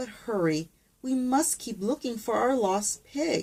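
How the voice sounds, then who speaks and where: A put-on character voice, female-sounding, at a fairly high pitch and a fairly slow pace. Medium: read story.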